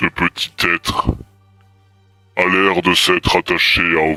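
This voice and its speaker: Over faint music in the background, a man does a put-on character voice with a very deep, low pitch at a fairly slow pace. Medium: actual play. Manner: formal, archaic, solemn.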